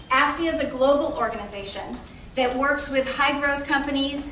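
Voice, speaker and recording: A woman with an American accent uses a raised, projected voice at high pitch. Noticeable background noise and audible room echo are present. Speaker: nonprofit CEO, panel speaker. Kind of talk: speech to audience. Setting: stage with audience.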